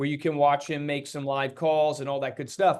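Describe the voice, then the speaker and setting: The speaker is a man. His pitch is fairly high. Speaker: real estate agent and coach. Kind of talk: training presentation. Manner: fast.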